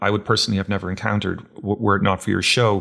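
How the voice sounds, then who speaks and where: A man with an Irish accent, fairly low pitch, and a bright, sharp tone in a very clean recording with a silent background. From Ireland. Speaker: podcast host. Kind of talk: interview. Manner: halting, many fillers.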